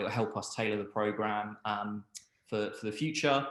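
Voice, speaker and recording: With a Cockney accent, a man talks at a moderate pace and medium pitch, his intonation fairly even. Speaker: webinar host. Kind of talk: product webinar presentation. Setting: online webinar. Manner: hesitant, many fillers.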